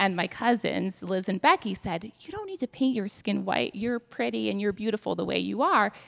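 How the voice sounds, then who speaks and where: With hardly any pauses, a woman speaks at a moderate pace in a dry, close sound with no echo. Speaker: psychology professor. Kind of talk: panel discussion.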